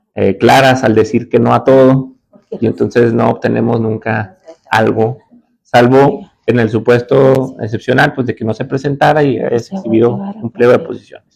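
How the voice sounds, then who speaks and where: Vocal fry colors a man's medium-pitched voice. He keeps a moderate pace with ordinary pitch variation. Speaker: judge and law lecturer. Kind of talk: lecture.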